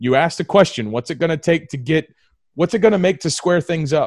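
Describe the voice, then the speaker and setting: Using an ordinary speaking voice, a man with an American accent talks at a fairly quick pace and fairly high pitch, with ordinary pitch variation and a dry, close sound with no echo. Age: 30s. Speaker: combat veteran and restaurant owner. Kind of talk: casual chat. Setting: video call.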